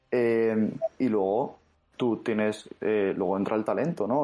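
A man speaks with fairly even intonation at a fairly low pitch. His is an ordinary speaking voice. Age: 20s. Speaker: fantasy novelist. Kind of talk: interview.

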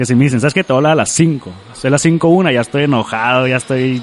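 Noticeable background noise sits behind a man's voice. He talks at a medium pitch with ordinary pitch variation. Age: 20s. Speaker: Facebook page creator and charity organizer. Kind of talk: casual interview.

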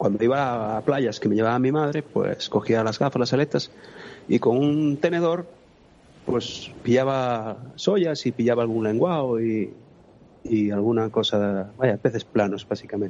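Speaking at a fairly slow pace, a man has an unremarkable speaking voice, very even loudness and ordinary pitch variation. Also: medium pitch for a man. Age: 40s. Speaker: spearfisherman. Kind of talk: interview.

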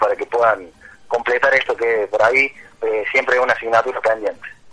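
Noticeable background noise sits behind the voice. It moves at a fairly quick pace with ordinary pitch variation. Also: man. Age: 30s. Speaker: adult student and car salesman. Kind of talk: radio interview. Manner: lively.

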